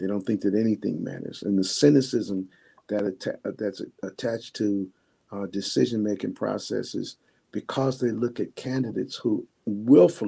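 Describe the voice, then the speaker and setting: Speaking at a moderate pace, a man uses a fairly low pitch and a dark, mellow tone with ordinary pitch variation. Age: 70s. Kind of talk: live stream interview. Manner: halting.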